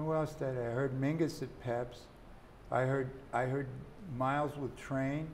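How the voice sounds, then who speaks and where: A man talks at a moderate pace in a flat monotone. There is light background noise behind him. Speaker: saxophonist and jazz author. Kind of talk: interview. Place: studio. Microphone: lapel.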